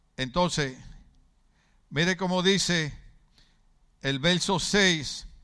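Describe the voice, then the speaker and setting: Bright and sharp in tone, the voice goes at a very slow pace with long, frequent pauses, ordinary pitch variation, and audible room echo. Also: man, high pitch for a man. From Puerto Rico, Ponce. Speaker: pastor. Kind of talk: sermon. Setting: church.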